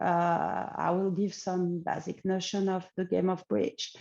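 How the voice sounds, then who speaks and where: Speaking at a fairly slow pace, a woman talks with a French accent. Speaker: AI researcher. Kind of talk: conference talk. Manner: halting, many fillers.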